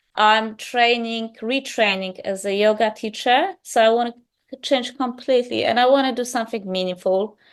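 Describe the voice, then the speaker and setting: Against a quiet background, a woman with a Polish accent speaks with ordinary pitch variation. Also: fairly high pitch for a woman, moderate pace. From Poland. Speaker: yoga teacher in training. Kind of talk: interview.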